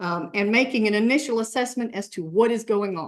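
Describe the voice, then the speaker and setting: Here is a woman with a fairly high pitch and ordinary pitch variation. It is a plain, everyday voice. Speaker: campus emergency management presenter. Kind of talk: presentation to faculty senate.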